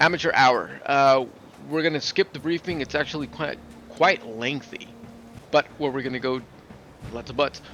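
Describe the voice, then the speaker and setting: This is a man's voice with ordinary pitch variation. Noticeable background noise sits behind him. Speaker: gaming video creator. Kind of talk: gameplay commentary. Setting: at home.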